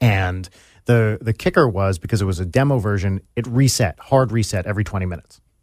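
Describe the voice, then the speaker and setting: A man with a plain, everyday voice talks at a fairly quick pace and fairly low pitch, with ordinary pitch variation, on a very clean recording with a silent background. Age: 40s. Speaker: musician and YouTuber. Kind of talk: casual interview chat. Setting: studio.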